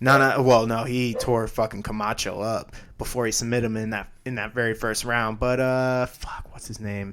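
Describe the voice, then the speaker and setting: A man speaks at a medium pitch in a flat monotone, though his loudness swings a great deal. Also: moderate pace. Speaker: MMA podcast host. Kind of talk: casual chat.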